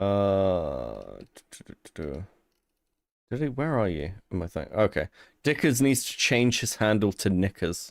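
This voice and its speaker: Speaking at a fairly slow pace with a British accent, a man's fairly low voice swings very widely in pitch and a lot in loudness, on a very clean, dry, close recording with no echo and a silent background. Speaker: streamer. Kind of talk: casual chat. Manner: prim and proper.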